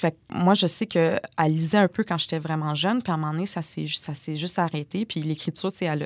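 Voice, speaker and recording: A woman's fairly low voice at a very fast pace, fairly even intonation, dry close sound with no echo. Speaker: author. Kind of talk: casual interview conversation. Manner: slight speech difficulty when stressed.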